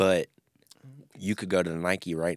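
A man's very deep, low voice with an American accent at a moderate pace, dry and close with no echo. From Memphis, Tennessee, US South. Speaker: music producer and podcaster. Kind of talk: casual chat.

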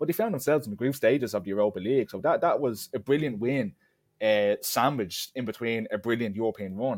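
A man with an Irish accent talks at a very fast pace, his medium-pitched voice showing ordinary pitch variation. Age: 20s. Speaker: football podcast co-host. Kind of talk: casual chat.

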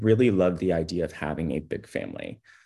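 Against a quiet background, a man talks with vocal fry. His pace is fairly quick. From Texas, Houston. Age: 30s. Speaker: podcast guest. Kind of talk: casual chat. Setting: video call.

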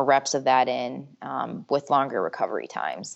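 A woman talks in a very deep, low pitch marked by vocal fry. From Michigan. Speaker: strength and conditioning coach. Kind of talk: interview.

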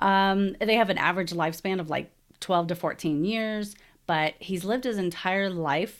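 A woman with an American accent talks at a fairly slow pace in a normal speaking voice, her pitch varying in an ordinary way, on a very clean recording with a silent background. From Texas. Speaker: podcast host. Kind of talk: casual solo podcast talk.

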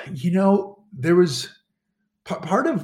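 A man talks with a somewhat breathy voice. His pace is fairly slow. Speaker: Paralympic skier and motivational speaker. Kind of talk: interview conversation. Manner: halting, many repeated words and restarts.

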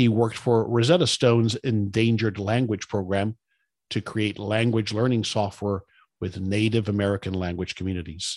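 A man with a normal speaking voice at medium pitch, moderate pace, on a very clean recording with a silent background. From South Florida, son of Cuban immigrants. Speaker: podcast host. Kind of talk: scripted introduction; interview conversation.

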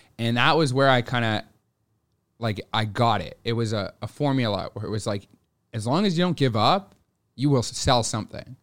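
A man with a Montreal accent, medium pitch, ordinary pitch variation, a moderate pace and long, frequent pauses. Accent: Canadian English, Montreal anglophone. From Montreal, Quebec (anglophone). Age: 20s. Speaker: window cleaning business owner. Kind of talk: interview.

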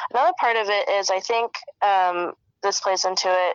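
A woman at medium pitch, with ordinary pitch variation and a fairly slow pace. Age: 20s. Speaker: microbiologist. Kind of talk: casual chat.

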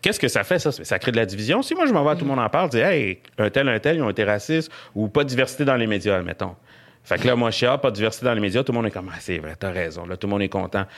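This man talks at a very fast pace with a Quebec accent. His pitch is medium and his intonation lively. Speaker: comedian. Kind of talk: casual chat.

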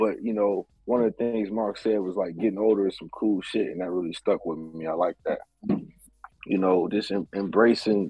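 This man has an unremarkable speaking voice, fairly low in pitch, moving at a moderate pace with ordinary pitch variation. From Ohio. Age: 30s. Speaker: music producer. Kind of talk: casual chat.

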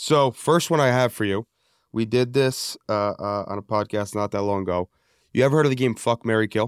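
A plain, everyday voice goes fairly quickly with ordinary pitch variation, recorded very cleanly over a silent background. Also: man, medium pitch for a man, dry, close sound with no echo. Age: 20s. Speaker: podcast co-host, sales director. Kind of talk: casual interview chat.

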